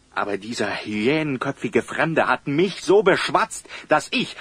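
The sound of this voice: With big pitch swings, a put-on character voice moves at a fairly slow pace, its fairly bright tone carrying a slightly husky edge. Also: man, medium pitch for a man.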